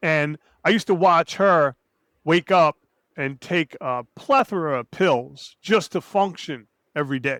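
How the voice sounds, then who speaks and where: A man's high-pitched, animated voice at a fairly slow pace, with lively intonation and a dry, close sound with no echo, on a very clean recording with a silent background. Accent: American. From New Jersey, Hudson County. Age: 60s. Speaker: 9/11 survivor and entrepreneur. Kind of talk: interview testimony. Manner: casual, animated storytelling.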